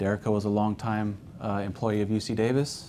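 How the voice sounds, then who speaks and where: Low-ish and dark, mellow in tone, a man's voice runs in a monotone, flat intonation at a fairly low pitch. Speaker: care home founder giving a presentation. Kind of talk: business presentation. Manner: fast.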